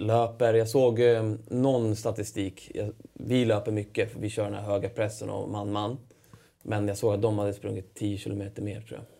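At a moderate pace, a man speaks in a dark, mellow tone with monotone, flat intonation. His loudness swings widely. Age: 30s. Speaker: professional footballer. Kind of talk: interview. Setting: studio.

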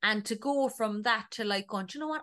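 Against a quiet background, a woman with a Cork accent talks at a fairly quick pace in a fairly high pitch. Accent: Cork Irish. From Ireland, North County Cork. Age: 30s. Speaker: TV production worker and podcaster. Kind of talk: casual chat.

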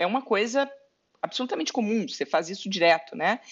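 Her voice is a plain, everyday voice. The woman speaks fairly quickly, her intonation lively. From southern Brazil, Pelotas (Rio Grande do Sul). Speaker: lawyer and entrepreneur. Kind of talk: interview.

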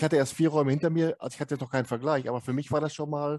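A man's fairly high, monotone, flat voice, dry and close with no echo, against a quiet background. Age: 50s. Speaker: podcast host. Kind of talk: casual interview.

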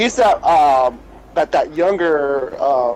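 This man speaks with a fairly high pitch and ordinary pitch variation. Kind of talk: casual banter.

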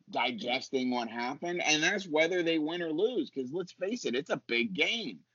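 Bright and sharp with a slightly husky edge, a man's voice sits fairly high in pitch and moves with lively intonation. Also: moderate pace.

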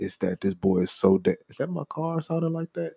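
The sound is dry and close with no echo as a man with an American accent speaks with ordinary pitch variation. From New Orleans, Louisiana. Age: 20s. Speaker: podcast co-host.

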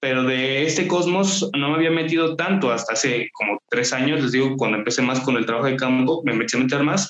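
This man talks at a fairly quick clip with hardly any pauses, his medium pitch varying in an ordinary way and his loudness very even, in a plain, everyday voice. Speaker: local history project founder. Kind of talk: casual interview chat.

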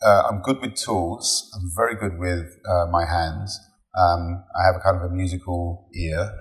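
A man with an English accent, very deep and low in pitch, at a fairly slow pace. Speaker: digital executive. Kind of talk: interview. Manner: halting.

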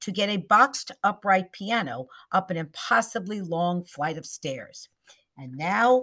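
This is an unforced reading voice with ordinary pitch variation. The background is quiet.

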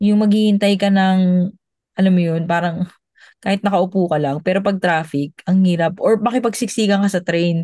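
A woman with a dark, mellow tone and medium pitch speaks at a moderate pace, somewhat breathy, with fairly even intonation and very even loudness. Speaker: former overseas worker. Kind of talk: casual chat.

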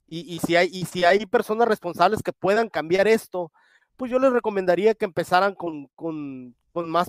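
A man talks at a high pitch and moderate pace with ordinary pitch variation, the sound dry and close with no echo on a very clean recording with a silent background. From Mexico. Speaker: boxing commissioner and media contributor. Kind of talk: casual chat.

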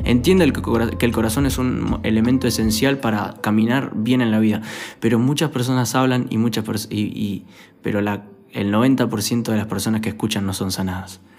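A man with a Rioplatense accent, amid audible room echo and noticeable background noise. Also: medium pitch for a man, ordinary pitch variation, moderate pace. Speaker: youth pastor. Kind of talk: sermon.

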